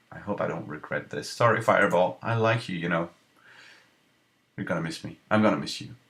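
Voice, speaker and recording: A man with a non-native accent speaks at a fairly quick pace, his pitch very deep and low with ordinary variation. His loudness swings widely, and he takes long, frequent pauses. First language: not English. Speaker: gaming video creator. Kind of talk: gameplay commentary. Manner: casual, thinking aloud.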